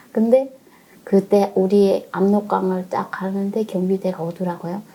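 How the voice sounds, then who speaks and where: Monotone, flat intonation from a woman at medium pitch and a fairly slow pace. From North Korea. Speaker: North Korean defector. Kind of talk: interview.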